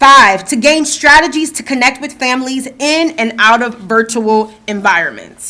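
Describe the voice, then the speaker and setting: A woman at a high pitch with an American accent, moderate pace, ordinary pitch variation, hardly any pauses and big swings in loudness. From New Jersey. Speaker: school division staff presenter. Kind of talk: board meeting presentation. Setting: school board meeting in boardroom.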